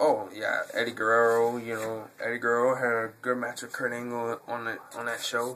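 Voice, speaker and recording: With a New York accent, a man speaks at a moderate pace in a monotone, flat intonation, hardly pausing, over noticeable background noise. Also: medium pitch for a man. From New York City, Brooklyn. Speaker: YouTuber, wrestling fan. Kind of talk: Q&A video monologue. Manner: halting, many fillers.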